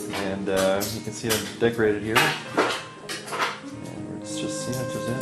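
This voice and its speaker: Loud music plays in the background. A man speaks at a fairly slow pace with ordinary pitch variation. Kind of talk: casual vlog chat. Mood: relaxed, wry. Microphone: phone near.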